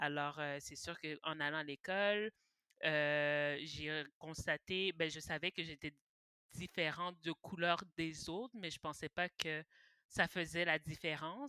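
Fairly low in pitch, a woman's bright, sharp voice moves at a fairly slow pace with fairly even intonation, dry and close with no echo, in a very clean recording over a silent background. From Quebec, Montreal (Pointe-aux-Trembles). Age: 20s. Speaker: podcast guest. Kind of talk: casual chat.

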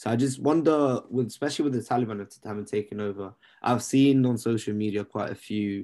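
This man speaks with a London accent. His tone is dark and mellow. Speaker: podcast co-host and student. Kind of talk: casual chat. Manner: casual, laid-back.

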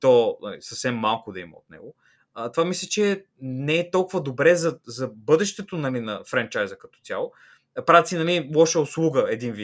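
A man's plain, everyday voice, fairly high in pitch, with lively intonation at a moderate pace, in a very clean recording against a silent background. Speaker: podcast co-host. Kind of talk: casual chat.

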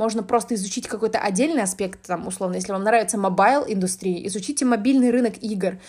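A woman's somewhat breathy, fairly high voice at a very fast pace, with hardly any pauses. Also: ordinary pitch variation. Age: 20s. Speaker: podcast host, business developer in games. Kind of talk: casual solo monologue. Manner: talkative, frequent filler sounds. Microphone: basic app recording, no good microphone.

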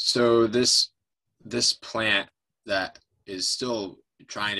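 A man speaks with an American accent in a bright, sharp tone. His intonation stays fairly even. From upstate New York. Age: 30s. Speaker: environmental nonprofit director. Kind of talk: interview.

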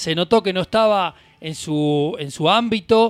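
Pitch moves in an ordinary way within a dry, close sound that has no echo. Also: man. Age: 40s. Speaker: radio host. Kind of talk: casual chat. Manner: halting.

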